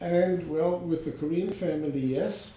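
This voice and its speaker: A man with an American accent and ordinary pitch variation, with audible room echo. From New York (Riverdale, Bronx). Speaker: interviewee, retiring businessman. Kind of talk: oral history interview. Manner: halting, many fillers.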